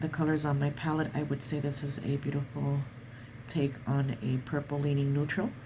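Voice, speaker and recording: Using fairly even intonation, a woman with a very deep, low pitch speaks at a moderate pace. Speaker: watercolor artist. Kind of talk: art tutorial narration.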